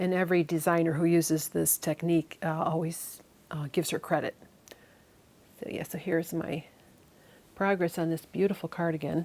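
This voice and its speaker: A woman with a Chicago accent speaks at a moderate pace and a fairly low pitch. Her delivery is monotone and flat, broken by long, frequent pauses. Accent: Chicago Midwest. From US Midwest, Chicago. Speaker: knitting and spinning vlogger. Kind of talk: casual vlog chat. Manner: many fillers and false starts.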